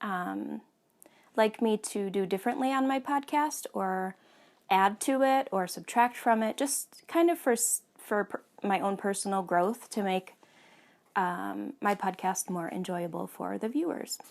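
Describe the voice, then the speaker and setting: On a very clean recording with a silent background, a woman speaks fairly slowly with lively intonation. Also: medium pitch for a woman. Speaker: knitting podcast host. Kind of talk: casual monologue. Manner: hesitant, many fillers.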